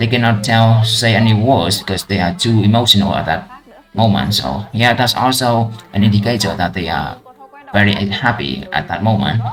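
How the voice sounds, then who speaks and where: With music in the background, a man speaks in a Vietnamese accent at a moderate pace, with a fairly low pitch and ordinary pitch variation. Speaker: IELTS practice vlogger. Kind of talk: speaking test practice. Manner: halting.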